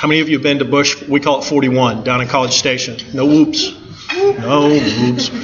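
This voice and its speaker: A man talks fairly quickly with an American accent, while noticeable background noise and audible room echo surround him. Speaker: construction manager. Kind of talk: presentation talk. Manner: fast; informal.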